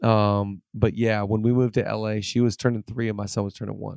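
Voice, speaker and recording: A man with an American accent talks at a moderate pace in a monotone, flat intonation, his fairly low pitch carrying a dark, mellow tone. The sound is dry and close with no echo, over a quiet background. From Seattle, US Pacific Northwest. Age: 30s. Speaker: pastor. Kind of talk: casual chat.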